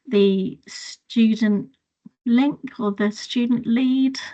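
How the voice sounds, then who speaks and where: A somewhat breathy woman with a southern English accent. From England, Hertfordshire. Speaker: children's nurse. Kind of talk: webinar talk about career journey. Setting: video call webinar.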